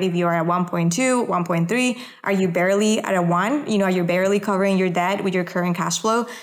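A woman speaks with a non-native accent at a medium pitch. Her intonation stays fairly even. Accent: foreign-accented English. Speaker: real estate investor. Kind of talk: interview, casual chat.

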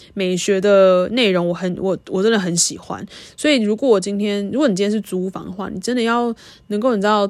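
A woman with a medium pitch, a fairly quick pace, ordinary pitch variation, and an unremarkable speaking voice. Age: 20s. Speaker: podcast host. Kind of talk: casual monologue.

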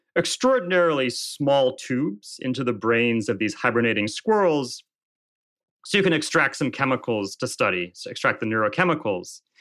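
In a normal speaking voice, lively intonation moves at a fairly quick pace on a very clean recording with a silent background. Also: man. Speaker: journalist and author. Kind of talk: interview answers.

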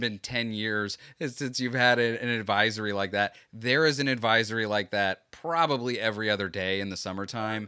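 With an American accent and a bright, sharp tone, a man speaks at a fairly quick pace and medium pitch with hardly any pauses on a very clean recording with a silent background. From Florida. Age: 30s. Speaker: podcast host. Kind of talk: casual chat, podcast interview.

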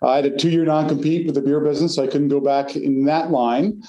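Over noticeable background noise and audible room echo, a man talks at a very fast pace in a fairly high pitch. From US Northeast, North Jersey. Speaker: company founder. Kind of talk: interview.

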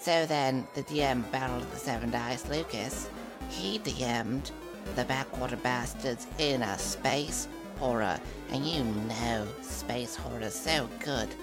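A put-on character voice at a fairly slow pace over loud background music. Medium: actual play. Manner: boastful, goofy, rambling.

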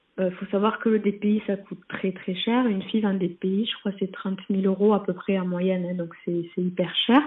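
A woman speaks at a fairly slow pace and a medium pitch. Her intonation stays monotone and flat. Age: 20s. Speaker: nurse. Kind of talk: testimony.

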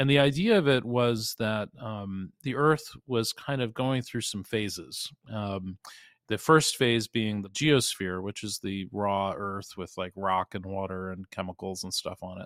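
In a very clean recording with a silent background and a dry, close sound with no echo, a normal speaking voice moves at a fairly slow pace, with big swings in loudness and ordinary pitch variation. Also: man, fairly low pitch for a man. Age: 50s. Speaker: investigative journalist and researcher. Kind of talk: interview.

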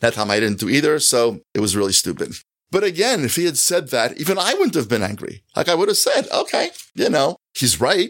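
A man with an American accent talks fairly quickly at a fairly high pitch, swinging very widely in pitch. His voice carries vocal fry, and his loudness stays very even. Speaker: author and college fellow. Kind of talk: interview conversation. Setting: office.

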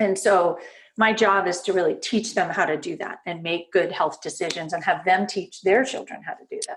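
An unremarkable speaking voice talks at a moderate pace with an American accent. The intonation is fairly even, but the loudness swings a lot. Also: woman, medium pitch for a woman. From US West Coast, Berkeley, California. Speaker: pediatrician and mindfulness instructor. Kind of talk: interview conversation.

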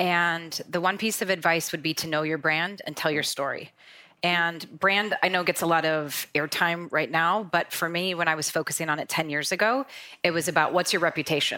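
Over a very clean recording with a silent background, a woman speaks fairly quickly with an American accent. Her fairly low voice has a bright, sharp tone and fairly even intonation. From North Dakota, US. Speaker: sales operations executive. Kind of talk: panel discussion.

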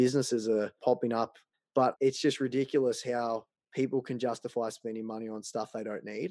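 A man with an Australian accent at medium pitch, fairly quick and fairly even in intonation, in dry, close sound with no echo and a quiet background. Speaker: personal finance blogger. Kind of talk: interview.

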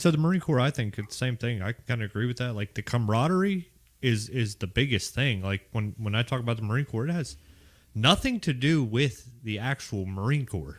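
A man with a slight Raleigh accent speaks at a fairly quick pace in a medium pitch, his intonation lively, on a very clean recording with a silent background. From Pittsburgh, Pennsylvania. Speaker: Marine veteran, hike organizer. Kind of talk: casual chat.

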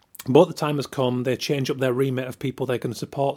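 Man with a Yorkshire accent, medium pitch and fairly even intonation. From Yorkshire, northern England. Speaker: podcast host, illustrator. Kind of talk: podcast intro and sponsor reads. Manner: casual, chatty.

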